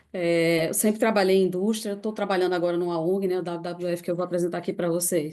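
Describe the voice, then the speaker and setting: Over noticeable background noise, a woman with a fairly low pitch talks at a very fast pace in a monotone, flat intonation, with hardly any pauses. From Brazil, Recife (Pernambuco). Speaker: NGO staff member presenting a case. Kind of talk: online presentation with slides.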